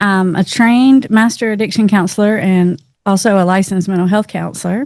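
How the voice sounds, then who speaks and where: With a Southern US accent, a woman speaks fairly quickly at a medium pitch with ordinary pitch variation. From Tennessee, US South. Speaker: addiction counselor. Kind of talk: casual interview.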